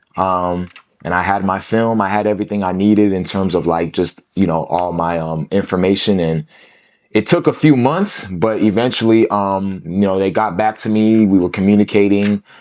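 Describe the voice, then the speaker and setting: At a moderate pace and with fairly even intonation, the speaker has a plain, everyday voice with an American accent. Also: man, fairly low pitch for a man. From US Midwest, Columbus, Ohio. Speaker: former college football player. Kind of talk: podcast interview. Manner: casual, filler-heavy.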